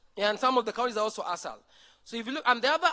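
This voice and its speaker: In a dry, close recording with no echo, a man projects a raised voice at an extremely high pitch with a bright, sharp tone. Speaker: conference presenter. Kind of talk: conference presentation. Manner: fast.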